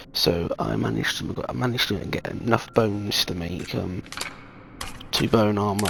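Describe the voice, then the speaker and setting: With a British accent and a fairly low pitch, a man speaks over noticeable background noise. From Britain. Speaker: gaming YouTuber. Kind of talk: gameplay commentary. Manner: soft-spoken. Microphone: voice recorded too quiet.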